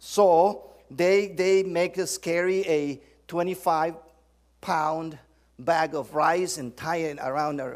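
With a Spanish accent, a man speaks at a high pitch and a very slow pace, his intonation fairly even. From Guatemala. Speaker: church leader, visiting preacher. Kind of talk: sermon. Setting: church.

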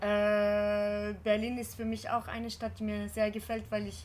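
Speaking fairly slowly, a woman talks in a French accent. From France. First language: French (speaking German). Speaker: actress and performer. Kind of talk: interview. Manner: halting, many hesitations.

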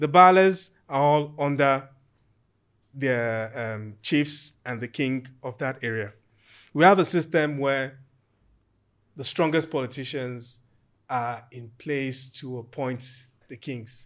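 On a very clean recording with a silent background, a man speaks at a very slow pace with long, frequent pauses, his medium-pitched voice showing ordinary pitch variation and big swings in loudness. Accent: Nigerian. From Nigeria, Ijebu Ode (Yoruba). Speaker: architect and property developer. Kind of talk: casual interview chat.

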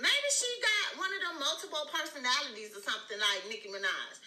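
Over noticeable background noise, a raised, projected voice with an animated tone and very wide pitch swings moves at a moderate pace. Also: woman. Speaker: live stream host, celebrity gossip commentator. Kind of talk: angry rant. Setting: live stream with chat. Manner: animated, sassy, loud.

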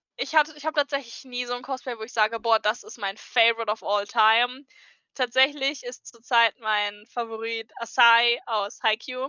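A high-pitched woman's voice at a moderate pace, with big swings in loudness. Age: 20s. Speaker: cosplayer. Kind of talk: casual chat.

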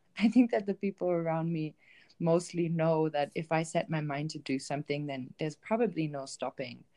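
A woman speaks with a German accent and a very deep, low pitch in a dark, mellow tone. Her pace is moderate, her pitch variation ordinary, and the background quiet. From Germany, Bielefeld (northwest). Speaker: travel writer and self-love coach. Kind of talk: interview. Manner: hesitant, many filler ums.

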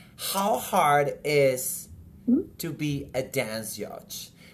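Here a man speaks with a Spanish accent. His pitch sits fairly high. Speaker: podcast host, dancer. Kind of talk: casual interview.

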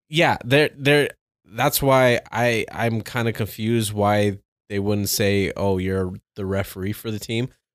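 A man speaks at a fairly slow pace, his pitch fairly low. He has ordinary pitch variation and a plain, everyday voice. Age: 30s. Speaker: podcast guest. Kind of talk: casual chat.

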